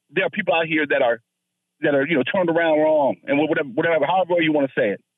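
A man talks with an American accent. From northern Virginia (Fairfax County). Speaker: caller. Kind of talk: call-in debate on talk radio. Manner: halting, repeats words.

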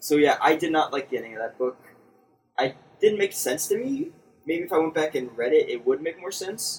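This is a normal speaking voice with lively intonation. It moves at a fairly quick pace. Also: man, fairly high pitch for a man. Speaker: podcast host. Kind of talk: casual chat.

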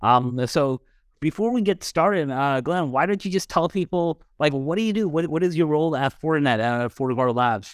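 A man with an ordinary speaking voice talks at a moderate pace with fairly high pitch and lively intonation, in a very clean recording with a silent background and a dry, close sound with no echo. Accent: American. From Dallas, Texas, US. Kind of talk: casual podcast conversation. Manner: casual, filler-heavy.

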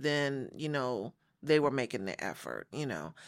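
A woman speaks at a fairly slow pace in a very deep, low pitch with ordinary pitch variation. The recording is very clean, with a silent background. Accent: American. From Los Angeles, after early childhood in Chicago. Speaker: church member sharing faith story. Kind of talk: testimony. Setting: studio.

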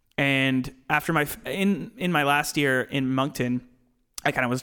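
An ordinary speaking voice, its pitch varying in an ordinary way. The background is silent in a very clean recording. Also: man. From Nova Scotia, Canada. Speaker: sports broadcaster, former student. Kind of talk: casual chat.

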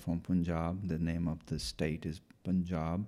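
A man with an Indian accent speaks very slowly in a very deep, low voice. His tone is dark and mellow, and his intonation is flat and monotone. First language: Punjabi. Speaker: former school superintendent. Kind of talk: interview. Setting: in-person conversation. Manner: halting, many fillers.

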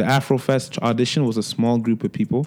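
A man with a Toronto accent speaks at a medium pitch in a dark, mellow tone. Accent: Toronto urban English. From Toronto, Jane and Finch. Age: 20s. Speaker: recording artist. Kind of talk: casual interview. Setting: studio.

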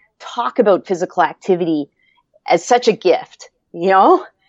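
A woman speaks at medium pitch and a moderate pace. Her pitch variation is ordinary. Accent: Maritime Canadian. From Nova Scotia, Canada. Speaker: kinesiology PhD and former PE teacher. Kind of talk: interview.

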